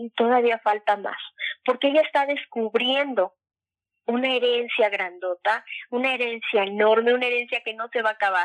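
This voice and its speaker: Here a woman speaks with a high pitch. Her intonation stays fairly even. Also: moderate pace. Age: 50s. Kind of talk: casual interview on faith.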